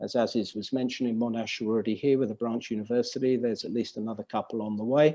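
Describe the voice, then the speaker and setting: With a dark, mellow tone, a man speaks at a medium pitch and with fairly even intonation. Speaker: business consultant. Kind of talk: webinar presentation. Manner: fast.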